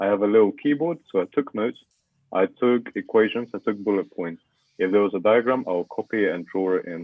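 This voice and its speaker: A man speaks with a Russian accent at a fairly quick pace. His pitch is fairly low, with ordinary variation. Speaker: university student. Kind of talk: podcast interview.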